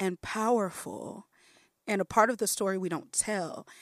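A plain, everyday voice from a woman with an American accent, medium in pitch with ordinary pitch variation, at a fairly slow pace, in a very clean recording with a silent background and a dry, close sound with no echo. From US Midwest, Chicago. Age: 40s. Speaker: playwright and arts director. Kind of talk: casual chat.

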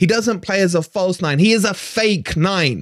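In an English accent, this voice carries an angry tone with ordinary pitch variation, in a dry, close sound with no echo. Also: man. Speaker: football fan channel host. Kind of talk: angry ranting match review. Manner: angry, ranting, sweary, emphatic; animated, sarcastic, scornful.

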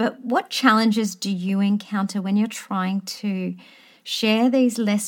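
A woman with an Australian accent speaks at a fairly slow pace in a medium pitch, somewhat breathy and with monotone, flat intonation. The recording is very clean, with a silent background. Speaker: history teacher and podcaster interviewing. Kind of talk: interview.

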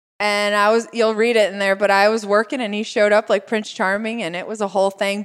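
A woman with an ordinary speaking voice and a medium pitch speaks at a fairly quick pace. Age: 40s. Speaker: lifestyle blogger and cook. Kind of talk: casual interview chat.

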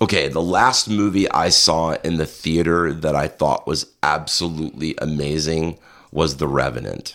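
Heard on a very clean recording with a silent background, a man with a very deep, low pitch and vocal fry talks at a moderate pace with ordinary pitch variation. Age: 50s. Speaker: fishing competitor and sculptor for films. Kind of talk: casual chat.

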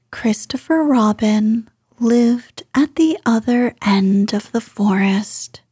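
An unforced reading voice, with ordinary pitch variation, is heard against a quiet background.

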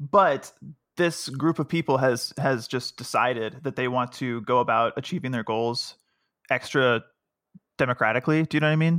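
A man mumbles his words. His pitch varies in an ordinary way. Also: medium pitch for a man, moderate pace, very clean recording, silent background. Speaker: tech guides editor. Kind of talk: casual chat. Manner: slight mumble.

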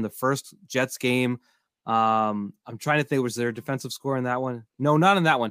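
This man has a plain, everyday voice, speaking at a moderate pace and medium pitch with ordinary pitch variation, captured in a very clean recording with a silent background. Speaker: podcast host. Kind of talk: casual sports podcast discussion.

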